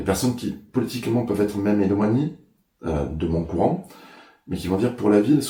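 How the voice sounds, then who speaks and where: A man's fairly low, dark and mellow voice, somewhat breathy, at a fairly quick pace. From Ariège, French Pyrenees. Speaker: mayor, election candidate. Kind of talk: interview. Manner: hesitant, many filler sounds.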